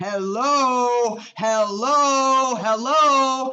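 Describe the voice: The speaker puts on a character voice pitched fairly high.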